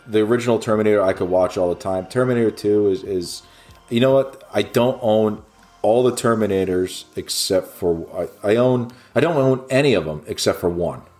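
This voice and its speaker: Music plays behind a man speaking at a fairly low pitch. His pace is moderate and his pitch variation ordinary. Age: 40s. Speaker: movie podcast co-host. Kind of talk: casual chat.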